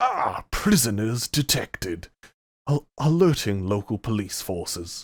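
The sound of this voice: A man uses a put-on character voice, medium in pitch, speaking at a fairly slow pace.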